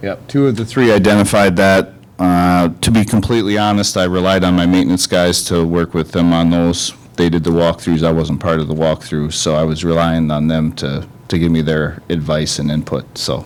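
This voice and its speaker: There is noticeable background noise behind this voice. The speaker keeps a moderate pace and ordinary pitch variation. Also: man, very deep, low pitch for a man. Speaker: school administrator. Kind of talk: board meeting. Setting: meeting room with microphones. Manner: loud.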